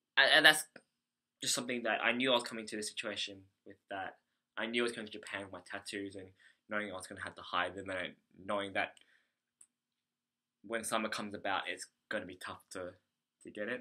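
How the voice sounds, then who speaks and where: A man's fairly low, bright and sharp voice with an Australian accent, a very fast pace broken by long, frequent pauses, big swings in loudness and ordinary pitch variation. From Australia, Melbourne. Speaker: English conversation teacher, vlogger. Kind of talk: video diary. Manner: halting, many fillers.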